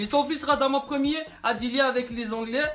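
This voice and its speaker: Music plays in the background while the voice moves along at a moderate pace. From Madagascar. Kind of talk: humorous history commentary to camera. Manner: casual, joking, slangy.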